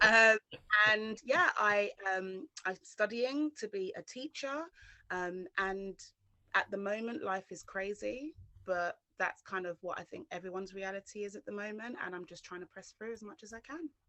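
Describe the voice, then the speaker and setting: A woman with a London accent speaks at a medium pitch and a moderate pace. Her intonation is lively, and her loudness swings widely. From West London, England. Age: 30s. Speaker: trainee teacher sharing her testimony. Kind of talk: testimony interview.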